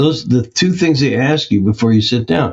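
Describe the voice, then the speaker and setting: A man's voice comes across somewhat breathy. He keeps a moderate pace. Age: 70s. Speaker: health practitioner and course founder. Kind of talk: interview.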